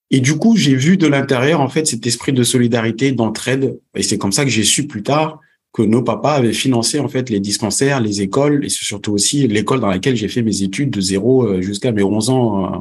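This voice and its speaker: This man has an unremarkable speaking voice, medium in pitch with ordinary variation. He keeps a moderate pace with hardly any pauses against a quiet background. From Senegal, came to France at 11. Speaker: entrepreneur, networking expert. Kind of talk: podcast interview.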